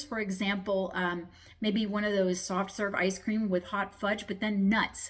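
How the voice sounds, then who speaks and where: A woman's somewhat breathy voice at medium pitch, at a fairly slow pace. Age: 50s. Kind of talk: casual talk to camera. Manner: stuttering; hesitant with fillers.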